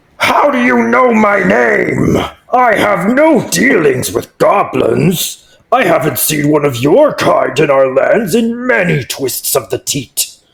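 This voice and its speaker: Putting on a character voice, a man speaks high in pitch at a fairly slow pace with hardly any pauses. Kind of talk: formal, archaic fantasy speech. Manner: disdainful, proud.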